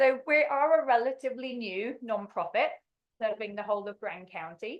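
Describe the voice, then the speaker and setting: A woman speaks with a slight English accent. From England. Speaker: non-profit executive director. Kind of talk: presentation. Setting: public meeting.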